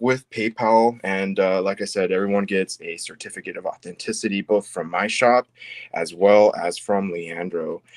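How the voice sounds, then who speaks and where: A man's fairly low-pitched voice, an unremarkable speaking voice, dry and close with no echo, very clean recording, silent background. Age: 40s. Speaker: crystal carving seller. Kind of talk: casual chat.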